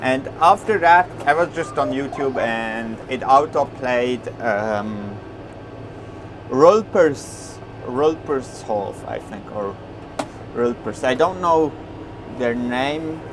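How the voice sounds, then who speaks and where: Speaking with a Swiss German accent, a man talks at a very slow pace with long, frequent pauses while music plays in the background. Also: medium pitch for a man, lively intonation. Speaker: farmer. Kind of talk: casual vlog talk while working. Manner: halting, with many fillers.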